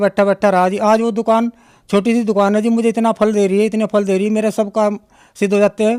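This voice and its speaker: A high-pitched man at a moderate pace, monotone and flat, in a dry, close sound with no echo. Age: 60s. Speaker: devotee giving testimony. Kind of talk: testimony. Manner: halting.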